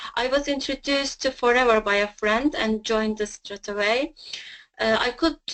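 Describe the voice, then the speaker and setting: In a quiet background, a woman with a Turkish accent speaks at a moderate pace in a high voice with ordinary pitch variation. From Turkey. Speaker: network marketing distributor, mother. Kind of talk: personal success story. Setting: webinar.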